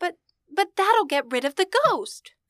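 A woman's put-on character voice, squeaky and extremely high, at a moderate pace, with a dry, close sound and no echo. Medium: old radio play. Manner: innocent, naive.

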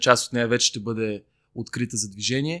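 A man with a medium pitch and a bright, sharp tone talks at a very fast pace with fairly even intonation. The sound is dry and close with no echo, in a very clean recording with a silent background. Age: 30s. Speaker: civic activist, NGO co-founder. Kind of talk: casual interview chat. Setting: recording in a bar, early Saturday morning.

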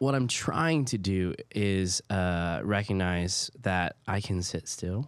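Lively in intonation, a man speaks very slowly in a very deep, low voice. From Hawaii. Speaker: high school pastor. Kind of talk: casual faith discussion.

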